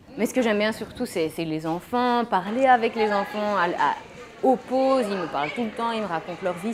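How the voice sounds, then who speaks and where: A woman talks at a moderate pace and medium pitch, with audible room echo. Crowd noise fills the background. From Belgium, Mons. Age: 20s. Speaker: teacher. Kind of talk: interview. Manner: halting.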